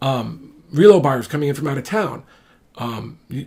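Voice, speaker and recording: The man's voice is fairly high in pitch. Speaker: real estate attorney and broker. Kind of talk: informal explainer monologue. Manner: fast; halting, many fillers and restarts.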